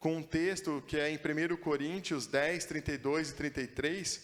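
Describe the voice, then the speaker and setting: Fairly even intonation marks this delivery, which keeps a moderate pace. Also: man. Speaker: preacher. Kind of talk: sermon. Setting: church.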